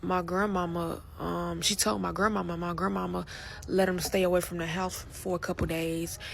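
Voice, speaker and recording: Audible room echo surrounds the speaker. A woman talks at a moderate pace. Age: 20s. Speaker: survivor sharing personal story. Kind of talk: personal testimony. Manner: halting, self-correcting.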